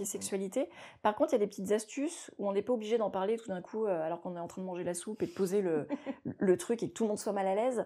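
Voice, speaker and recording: A woman at a very fast pace in a very clean recording with a silent background. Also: medium pitch for a woman, ordinary pitch variation. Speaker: coach for teenagers and parents, parent of two. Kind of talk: interview answer.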